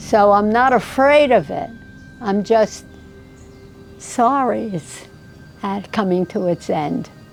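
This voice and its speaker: With music in the background, a woman speaks at a very slow pace and a medium pitch. Her intonation is lively, broken by long, frequent pauses. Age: 80s+. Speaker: interviewee. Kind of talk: interview.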